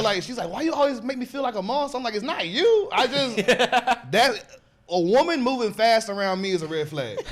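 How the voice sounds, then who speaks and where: Noticeable background noise sits behind a man speaking at a moderate pace, his high-pitched voice full of lively intonation. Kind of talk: comedy podcast banter, casual talk about being beaten as a kid.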